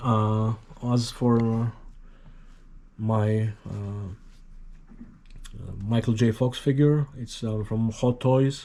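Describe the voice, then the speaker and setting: Speaking very slowly with long, frequent pauses, a man in a Greek accent delivers his words in a monotone, flat intonation with a dark, mellow tone. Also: medium pitch for a man. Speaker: hobbyist YouTuber. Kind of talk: casual tutorial. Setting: at home. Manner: halting, many fillers.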